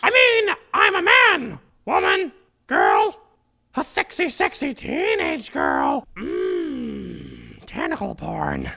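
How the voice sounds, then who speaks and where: This put-on character voice sits at an extremely high pitch. It goes at a very slow pace with long, frequent pauses. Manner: frantic, flustered.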